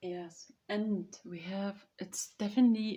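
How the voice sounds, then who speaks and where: Somewhat breathy and dark, mellow in tone, a woman with a German accent speaks at a very slow pace with ordinary pitch variation. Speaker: vlogger. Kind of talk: casual chat. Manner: halting.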